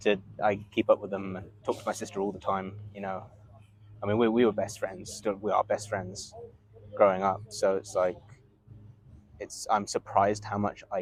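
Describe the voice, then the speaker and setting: A man with an English accent and a fairly low voice speaks at a moderate pace in a flat monotone, taking long, frequent pauses as his loudness swings widely. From England, Bedfordshire. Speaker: rugby coach. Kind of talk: casual chat.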